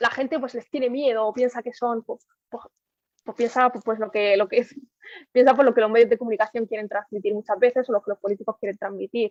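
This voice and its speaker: A woman talks at a very fast pace. Her voice sits fairly high, with fairly even intonation. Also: big swings in loudness, dry, close sound with no echo. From Murcia, Spain (born in Morocco). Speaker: journalist. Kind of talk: interview. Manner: halting.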